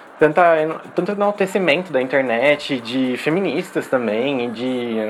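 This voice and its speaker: A man's fairly high voice with lively intonation at a fairly slow pace, amid noticeable background noise. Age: 20s. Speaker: pop culture podcaster. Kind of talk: casual chat.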